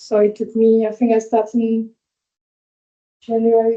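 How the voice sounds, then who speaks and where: A woman's dark, mellow tone with a non-native accent. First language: not English. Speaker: hospitality employee, apprenticeship graduate. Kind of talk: workplace info session, sharing experience. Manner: halting.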